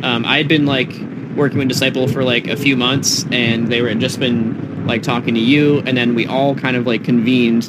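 A man with an American accent speaks at a moderate pace in a medium pitch, his delivery flat and monotone and his loudness very even, with noticeable background noise and audible room echo. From Massachusetts, US. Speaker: electronic music producer and DJ. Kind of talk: casual interview chat. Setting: on site at a music festival.

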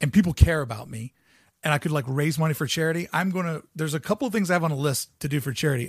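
An animated, somewhat breathy voice with an American accent comes through a very clean recording with a silent background and a dry, close sound with no echo. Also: man. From US Midwest, Ohio River area. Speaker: podcast host and YouTuber. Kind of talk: solo podcast monologue.

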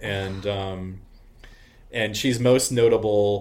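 In a room with audible echo, a man with an American accent talks at a very slow pace. His voice is fairly low, and his intonation stays fairly even. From Arizona. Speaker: artist, musician and drag performer. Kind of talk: casual interview chat.

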